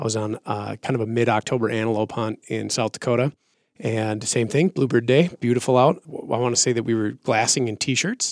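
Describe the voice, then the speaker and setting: A man with an American accent, a plain, everyday voice, medium pitch, fairly even intonation and a fairly quick pace, on a very clean recording with a silent background. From Minnesota. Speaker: hunter. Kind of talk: casual chat.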